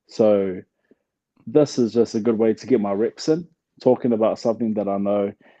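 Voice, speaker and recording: A man talks at a moderate pace in a relaxed, dark, mellow tone, fairly low in pitch with ordinary variation. Long, frequent pauses fall in a dry, close sound with no echo. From New Zealand. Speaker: retired pro boxer. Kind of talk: interview. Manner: casual, relaxed.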